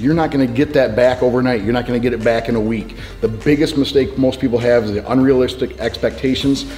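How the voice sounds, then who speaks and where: Faint music plays in the background as a man talks at a very fast pace. His intonation stays fairly even. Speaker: personal trainer. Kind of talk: interview answer. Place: gym.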